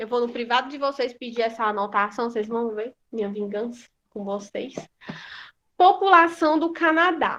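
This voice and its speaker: The tone is bright and sharp, the intonation lively, and the background quiet. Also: woman, high pitch for a woman, moderate pace. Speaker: school teacher. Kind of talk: online class lesson.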